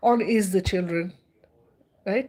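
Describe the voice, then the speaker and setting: A woman's animated tone and lively intonation at a fairly slow pace. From India. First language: Indian language. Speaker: spiritual livestreamer. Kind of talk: livestream monologue. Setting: livestream.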